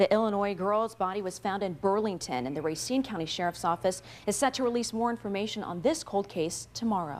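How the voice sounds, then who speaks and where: A plain, everyday voice moves at a fairly quick pace with lively intonation and hardly any pauses. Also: woman, medium pitch for a woman. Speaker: television news anchor and reporter. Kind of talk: TV news anchor read, newscast headlines and tease. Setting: television studio newsroom.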